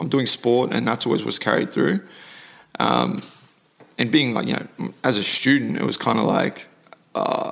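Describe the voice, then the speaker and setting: Speaking at a moderate pace, a man leaves long, frequent pauses over noticeable background noise. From South Africa, then Mackay, North Queensland from childhood. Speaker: MMA fighter. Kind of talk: casual interview conversation.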